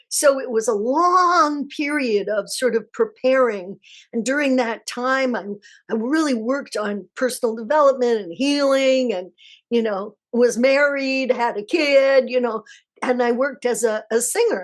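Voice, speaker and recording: At a fairly slow pace, a woman speaks in a high voice with ordinary pitch variation over a quiet background. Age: 70s. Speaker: energy healer and spiritual teacher. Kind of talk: live Q&A class. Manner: casual, warm.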